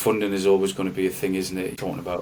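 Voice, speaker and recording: Noticeable background noise sits behind a man's voice. His pitch is very deep and low, his intonation fairly even. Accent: Geordie. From North East England. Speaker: actor and musician. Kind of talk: podcast interview answer.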